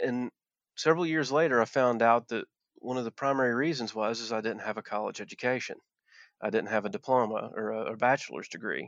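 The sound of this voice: A man at a medium pitch, a fairly quick pace and ordinary pitch variation, in a dry, close sound with no echo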